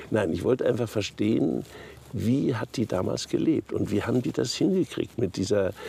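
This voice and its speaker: A man speaks at a fairly low pitch. The sound is dry with no echo. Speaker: interviewee. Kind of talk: interview answer. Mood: reflective, occasionally amused. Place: waterside. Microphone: lapel.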